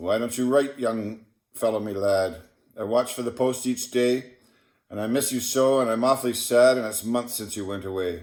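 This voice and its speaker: This man has an ordinary speaking voice at medium pitch. He keeps a moderate pace and fairly even intonation. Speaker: poetry reader. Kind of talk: reading aloud.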